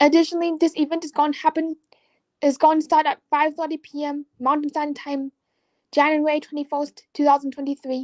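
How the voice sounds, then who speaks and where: A woman speaks at a fairly quick pace in a high pitch with monotone, flat intonation, her voice dry and close with no echo. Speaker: slot channel creator. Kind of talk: live stream interview. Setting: live video stream. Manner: halting, effortful speech from apraxia.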